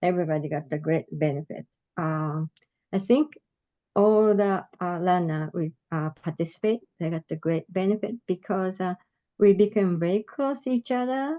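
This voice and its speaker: A woman's dark, mellow voice with a Japanese accent, fairly low in pitch, with lively intonation and a dry, close sound without echo. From Japan, Tokyo. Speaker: adult learner leader. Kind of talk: presentation. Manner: slow; halting.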